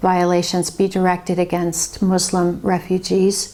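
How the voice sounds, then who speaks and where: A woman's dark, mellow tone at a medium pitch and fairly slow pace. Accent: Californian. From Los Angeles, California (born in Finland). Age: 50s. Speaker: investigative journalist and author. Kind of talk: personal testimony monologue.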